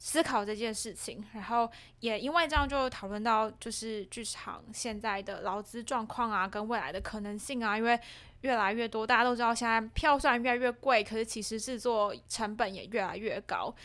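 With fairly even intonation, a woman talks at a moderate pace and a fairly high pitch. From Taiwan, Changhua. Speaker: theatre practitioner and podcast creator. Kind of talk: casual chat. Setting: small office. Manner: laughs often.

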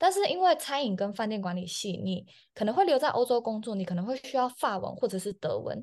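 Over a quiet background, this voice moves at a very fast pace with an energetic tone and very wide pitch swings. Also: woman. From Taiwan. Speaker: chef. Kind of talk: interview.

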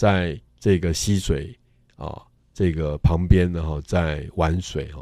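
A man's very deep, low voice with a dark, mellow tone at a fairly slow pace, in a very clean recording with a silent background. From Taiwan, Tainan. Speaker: art curator and professor. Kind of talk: interview. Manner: frequent filler particles.

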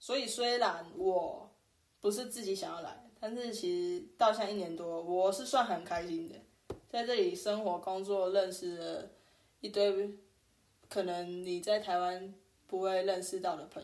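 The speaker moves at a fairly slow pace with ordinary pitch variation and big swings in loudness, and audible room echo surrounds the voice. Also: woman, medium pitch for a woman. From Taiwan, New Taipei (Sanchong). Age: 30s. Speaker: podcast co-host, working holiday maker. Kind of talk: casual chat.

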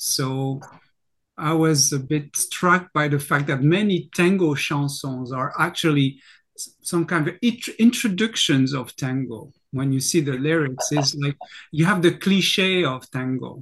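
A fairly slow pace in a French accent, against a quiet background. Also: man, fairly high pitch for a man, ordinary pitch variation. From France. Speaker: singer and university lecturer. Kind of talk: casual chat.

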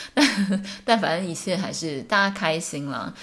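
Using lively intonation, a woman of medium pitch speaks at a fairly slow pace. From Taiwan, small town. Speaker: podcast host, English teacher. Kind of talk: solo podcast monologue. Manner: casual, frequent laughs and fillers.

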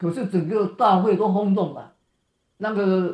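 Pitch variation is ordinary as the words come at a fairly slow pace. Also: man. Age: 80s+. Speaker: marathon runner. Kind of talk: interview. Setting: video call. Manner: halting.

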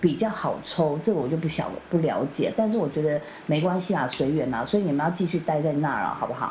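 A woman's very deep, low voice at a very fast pace with hardly any pauses and ordinary pitch variation, amid noticeable background noise and audible room echo. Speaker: podcast host. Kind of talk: casual chat.

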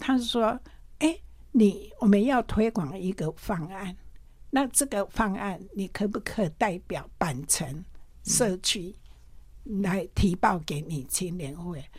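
On a very clean recording with a silent background, a woman speaks very slowly at medium pitch, with lively intonation and long, frequent pauses. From Taiwan, Pingtung. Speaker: retired nurse supervisor, volunteer. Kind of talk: testimony. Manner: halting.

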